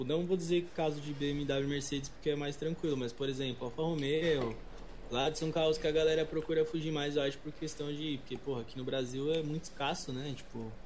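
A man's fairly high voice with fairly even intonation at a fairly quick pace, in audible room echo. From Brazil, São Paulo. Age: 20s. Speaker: English teacher and youtuber. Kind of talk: casual chat. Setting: remote call.

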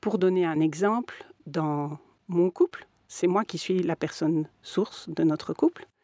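With a dark, mellow tone and fairly low pitch, a woman speaks at a very slow pace with fairly even intonation in a dry, close sound with no echo. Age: 50s. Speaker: lawyer and mediator. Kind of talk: interview.

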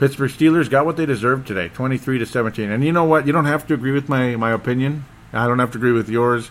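A man with a medium pitch, a very fast pace, ordinary pitch variation and an American accent. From Minnesota. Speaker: sports podcast host. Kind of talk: solo sports talk monologue. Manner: animated.

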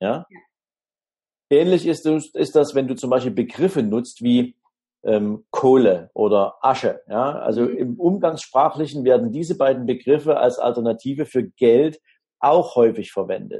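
Here a man talks at a moderate pace with a fairly high pitch and a dark, mellow tone. His intonation is lively, and his loudness swings widely. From Dresden, Saxony (eastern Germany). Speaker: financial advisor. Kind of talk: interview.

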